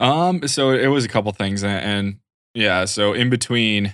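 Against a quiet background, a man speaks with a Western New York accent and ordinary pitch variation. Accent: Western New York American. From Rochester, New York. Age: 30s. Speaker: cybersecurity professional and hobby photographer. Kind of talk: casual chat. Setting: home studio, remote call.

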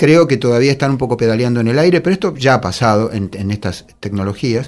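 Speaking at a fairly quick pace with ordinary pitch variation, a man uses an ordinary speaking voice on a very clean recording with a silent background. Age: 50s. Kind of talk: casual chat.

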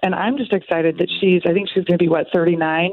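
A woman talks in a plain, everyday voice. Her pitch is medium and her pace moderate. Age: 50s. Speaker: caller. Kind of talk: casual chat. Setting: phone call.

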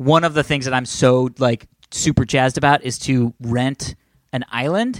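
A man with an ordinary speaking voice talks at a moderate pace and a medium pitch. The sound is dry and close with no echo. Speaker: podcast host. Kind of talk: casual banter podcast. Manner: joking, bantering.

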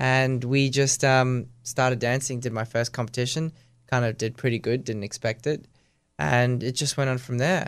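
A man with an Australian accent, medium-pitched, at a moderate pace with fairly even intonation, on a very clean recording with a silent background. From Australia, born in Russia. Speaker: professional ballroom dancer. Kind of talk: casual interview.

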